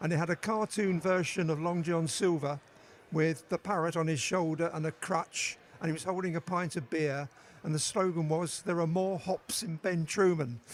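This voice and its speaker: His intonation stays fairly even. The man speaks at a high pitch. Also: moderate pace. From East London. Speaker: beer writer. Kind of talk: interview. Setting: stage with audience.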